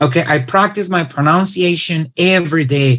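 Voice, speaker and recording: Speaking with a Mexican accent, a man uses a high pitch and a bright, sharp tone at a moderate pace. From Mexico. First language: Spanish. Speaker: English teacher and presenter. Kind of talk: conference talk. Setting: online event.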